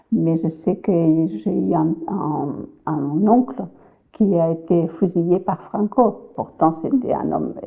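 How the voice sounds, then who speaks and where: Fairly low-pitched woman in a Spanish accent, very slow pace, lively intonation. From Spain, Valencia region (Cullera). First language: Spanish (speaking French). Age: 70s. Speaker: immigrant grandmother interviewee. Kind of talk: interview testimony. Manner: halting, repeating words.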